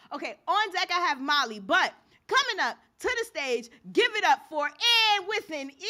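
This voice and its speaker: A raised, projected voice carries a bright, sharp, animated tone. The pace is moderate and the pitch swings very widely. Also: woman, extremely high pitch for a woman. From New York, the Bronx. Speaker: open mic host. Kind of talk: event hosting. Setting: stage with live audience. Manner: loud.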